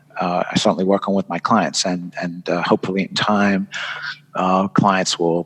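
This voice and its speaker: A man with a very deep, low pitch speaks at a moderate pace in a monotone, flat intonation. The sound is dry and close with no echo, though background noise is noticeable. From England. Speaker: event designer and author. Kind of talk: podcast interview. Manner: halting, many fillers.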